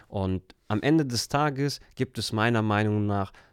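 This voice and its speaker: An unremarkable speaking voice from a man, fairly low in pitch with ordinary pitch variation, in a very clean recording with a silent background. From Germany, Turkish family. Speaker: life coach. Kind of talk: casual interview.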